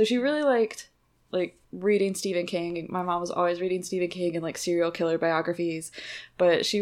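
A woman's normal speaking voice, medium in pitch with fairly even intonation, at a moderate pace in a very clean recording with a silent background. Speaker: podcast host. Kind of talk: casual chat.

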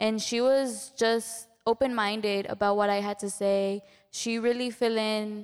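The speaker uses a Spanish accent and flat, monotone intonation at a moderate pace. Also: woman. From Mexico. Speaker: student and volunteer.

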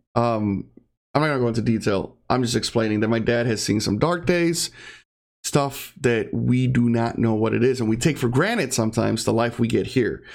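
Mumbling at a moderate pace, a man holds a medium pitch with ordinary pitch variation and very even loudness. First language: Spanish (bilingual). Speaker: podcaster and streamer. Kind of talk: casual solo monologue. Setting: home recording setup. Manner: mumbler.

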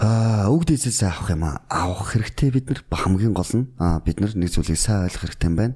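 With hardly any pauses, a somewhat breathy voice of dark, mellow tone moves at a fairly quick pace with lively intonation. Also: man, fairly low pitch for a man. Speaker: bodybuilder and fitness coach. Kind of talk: podcast interview.

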